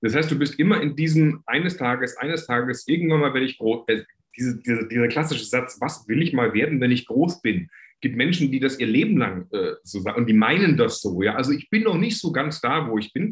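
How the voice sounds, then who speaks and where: A man speaks at a medium pitch and a fairly quick pace, sounding somewhat breathy. His intonation is lively. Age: 50s. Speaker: entrepreneur, coach and author. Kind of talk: interview.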